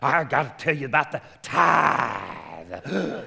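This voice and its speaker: The pace is very slow. The speaker uses a put-on character voice. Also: man, medium pitch for a man. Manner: preaching, emphatic.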